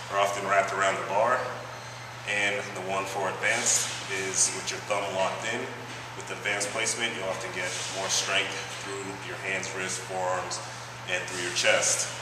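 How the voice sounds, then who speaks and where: Amid loud background noise and audible room echo, a man speaks at a moderate pace with long, frequent pauses. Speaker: fitness instructor. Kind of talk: tutorial. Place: gym.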